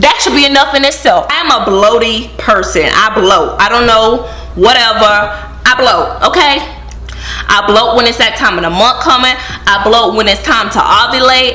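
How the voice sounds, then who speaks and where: An animated, bubbly tone at very even loudness, with noticeable background noise and audible room echo. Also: woman, fairly high pitch for a woman, ordinary pitch variation, moderate pace. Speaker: vlogger. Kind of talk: casual vlog talk to camera.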